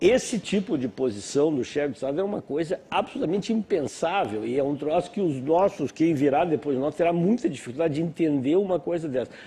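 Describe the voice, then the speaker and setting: A man talks at a fairly quick pace with hardly any pauses. His intonation is lively. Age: 60s. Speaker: panel guest. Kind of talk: TV panel discussion. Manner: halting.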